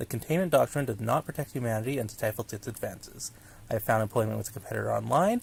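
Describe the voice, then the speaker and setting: Vocal fry runs through this man's medium-pitched voice. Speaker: hobby narrator of horror documents. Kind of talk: fictional letter read aloud.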